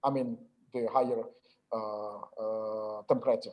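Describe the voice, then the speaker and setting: Someone with an Indonesian accent speaks at a very slow pace. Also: man. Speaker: lecturer. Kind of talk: lecture. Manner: halting, many filler sounds.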